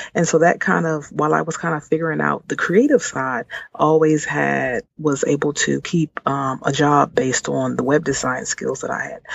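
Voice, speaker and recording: A woman with an American accent talks at a moderate pace, hardly pausing. Background noise is noticeable. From Washington D.C. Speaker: entrepreneur. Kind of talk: interview. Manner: hesitant, many filler words.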